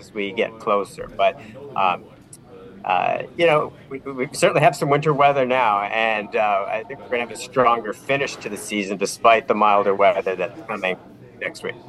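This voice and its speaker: With noticeable background noise behind him, a man speaks at a moderate pace and medium pitch with ordinary pitch variation. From Vineland, Niagara, Ontario, Canada. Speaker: weather forecaster. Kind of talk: interview. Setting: video call.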